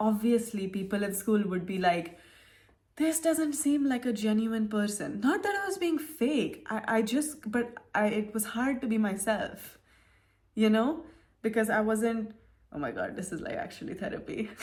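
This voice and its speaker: The voice is somewhat breathy. Its intonation is lively. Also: woman, fairly high pitch for a woman, moderate pace. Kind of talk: casual talk to camera.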